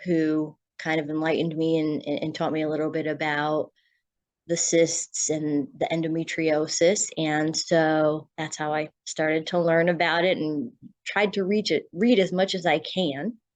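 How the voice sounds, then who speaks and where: Fairly slow, monotone, flat speech in an American accent over a quiet background. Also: woman. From Connecticut, US. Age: 40s. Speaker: patient. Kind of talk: interview testimony. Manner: halting, repeated words.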